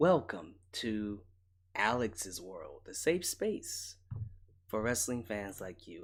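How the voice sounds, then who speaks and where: A man speaks at a medium pitch with lively intonation. His pace is very slow. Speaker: wrestling commentary host. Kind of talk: casual commentary monologue. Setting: late night home broadcast. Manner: quiet, relaxed.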